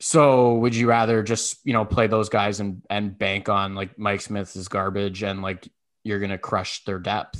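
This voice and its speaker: A man speaks in a plain, everyday voice at a fairly low pitch against a quiet background. His intonation stays fairly even. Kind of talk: heated sports talk banter, rapid-fire hockey rant with jokes.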